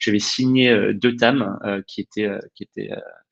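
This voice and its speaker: A man talks at a medium pitch and a moderate pace. His pitch variation is ordinary. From England. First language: English (speaking French). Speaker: HR director. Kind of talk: webinar discussion. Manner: hesitant, many fillers.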